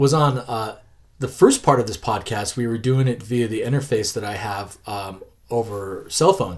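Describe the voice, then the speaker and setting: Medium in pitch, a man speaks at a fairly slow pace. His voice is somewhat breathy, with big swings in loudness. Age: 40s. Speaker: podcast host and comic creator. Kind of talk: casual interview chat. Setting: in the guest's collection room.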